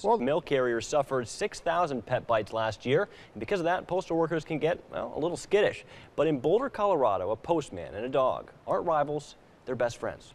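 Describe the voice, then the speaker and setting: A man talks with an American accent in a plain, everyday voice. His pitch is fairly high, his intonation lively, and his pace fairly quick. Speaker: TV news weekend anchor and reporter. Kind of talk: studio news anchor read.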